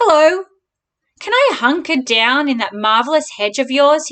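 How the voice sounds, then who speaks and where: A woman does a put-on character voice, loud, croaky and high-pitched, with a cheerful tone. She speaks at a moderate pace. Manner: loud, cheerful.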